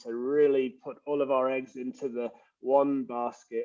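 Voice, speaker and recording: With an English accent, a man is talking. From England. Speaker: leadership coach and former pastor. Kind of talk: casual interview. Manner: hesitant, many fillers.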